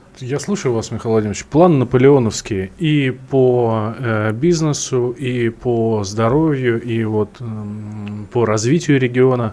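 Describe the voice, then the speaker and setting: Amid noticeable background noise, a man with a medium pitch speaks at a very slow pace with ordinary pitch variation. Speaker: radio host. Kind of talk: radio interview. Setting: studio.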